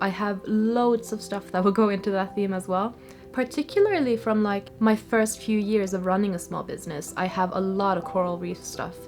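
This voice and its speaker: With music in the background, a woman speaks in a relaxed tone with hardly any pauses. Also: medium pitch for a woman, ordinary pitch variation, moderate pace. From Norway. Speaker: small business artist vlogger. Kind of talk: casual chat. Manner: relaxed, chatty.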